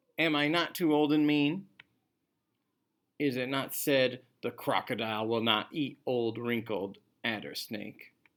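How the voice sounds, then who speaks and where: A man's put-on character voice, medium in pitch, cackling at a fairly slow pace with ordinary pitch variation and long, frequent pauses, on a very clean recording with a silent background. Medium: read story. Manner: stubborn, cackling.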